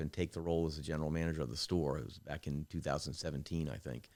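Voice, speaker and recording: Here a man speaks with an American accent in a very deep, low pitch. The recording is very clean, with a silent background. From Maryland, US (Prince George's County). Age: 60s. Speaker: car dealership general manager. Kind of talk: interview conversation.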